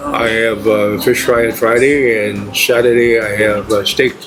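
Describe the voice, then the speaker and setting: Music plays in the background as a man with a medium pitch speaks at a fairly slow pace amid audible room echo. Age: 80s+. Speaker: restaurant owner. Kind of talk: interview.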